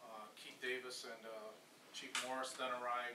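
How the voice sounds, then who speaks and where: A man is speaking with monotone, flat intonation. Noticeable background noise is present. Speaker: official giving a report at a council meeting. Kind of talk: formal meeting report. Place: meeting room. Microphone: camera far.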